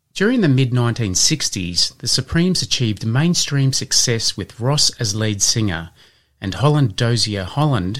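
Recorded very cleanly against a silent background, a man in a normal speaking voice talks at a fairly slow pace with medium pitch and lively intonation. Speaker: podcast host. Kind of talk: scripted educational podcast with quiz.

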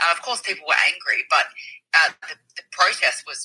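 A woman speaks in an Australian accent. Her pace is fairly quick. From Melbourne, Australia. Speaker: activist, movement founder. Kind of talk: interview. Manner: hesitant with fillers.

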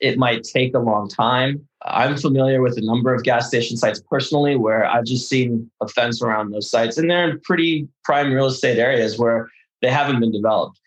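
A man's medium-pitched voice carries ordinary pitch variation at a moderate pace. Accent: Californian. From Los Angeles, raised by Russian-speaking immigrant family from Odessa. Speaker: architect. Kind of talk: interview. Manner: halting, many fillers and repetitions.

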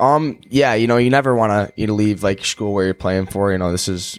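A man with an American accent talks at a moderate pace in a fairly low pitch. His is an unremarkable speaking voice. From Chicago, US. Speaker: college hockey player. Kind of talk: casual interview.

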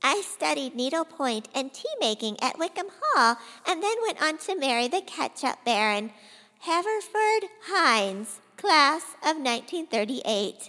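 In a put-on character voice, a woman cackles in a high pitch, her raised, projected voice making very wide pitch swings at a fairly slow pace. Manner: comic, exaggerated.

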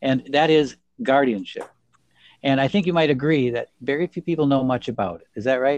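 With a plain, everyday voice, a man talks at a fairly quick pace, his fairly high pitch showing ordinary pitch variation. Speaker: lawyer podcast co-host. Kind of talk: casual professional discussion.

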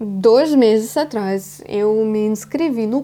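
A woman with a Russian accent speaks at a very slow pace in a fairly high pitch. Her tone is dark and mellow, and her intonation is lively. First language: Russian (speaking Portuguese). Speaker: podcast host. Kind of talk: casual monologue.

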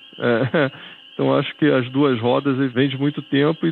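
Music plays in the background as a man with a fairly high pitch speaks at a moderate pace. His intonation stays fairly even. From Rio de Janeiro, Brazil. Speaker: retired bank worker, motorcycle traveler. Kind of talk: storytelling interview. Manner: casual, hesitant with fillers.

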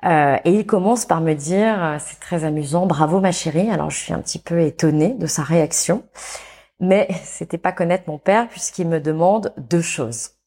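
A woman's dark, mellow, fairly low voice at a moderate pace, with ordinary pitch variation, in a very clean recording over a silent background. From France, Saint-Étienne. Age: 40s. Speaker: entrepreneur and consultant. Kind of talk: interview. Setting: studio. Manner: halting.

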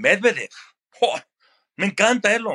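A man uses a raised, projected voice with a bright, sharp tone and high pitch. The sound is dry and close with no echo, and his pitch varies in an ordinary way. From Mexico City area. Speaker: sports broadcaster. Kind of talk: interview.

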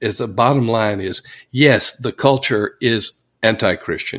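A man talks at a fairly slow pace in an ordinary speaking voice, medium in pitch with ordinary pitch variation. The recording is very clean, with a silent background. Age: 60s. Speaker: church consultant and author. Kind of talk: interview.

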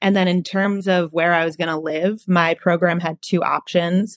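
On a very clean recording with a silent background, a woman with an unremarkable speaking voice and fairly low pitch speaks at a moderate pace with fairly even intonation, the sound dry and close with no echo. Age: 20s. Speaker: recent college graduate with food allergies. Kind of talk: interview.

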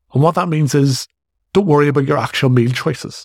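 Somewhat breathy, a man speaks with a Northern Irish accent in a dry, close sound with no echo. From Northern Ireland. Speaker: fitness coach and podcast host. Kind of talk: solo podcast monologue.

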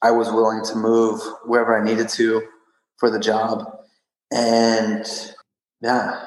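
Medium-pitched man with a Texan accent at a moderate pace. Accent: Texan American. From West Texas (Odessa). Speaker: strength and conditioning coach, CrossFit athlete. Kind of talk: interview.

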